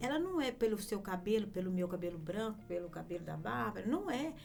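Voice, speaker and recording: Amid noticeable background noise and audible room echo, a woman at a medium pitch talks fairly quickly with very wide pitch swings. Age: 60s. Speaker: lawyer. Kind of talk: casual chat.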